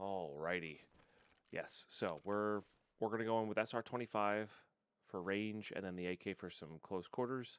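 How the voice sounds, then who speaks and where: A man speaks quietly at a moderate pace, fairly low and with fairly even intonation. The very clean recording has a silent background and a dry, close sound with no echo. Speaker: gaming streamer. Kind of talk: gameplay commentary. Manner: quiet, talking low; casual, rambling.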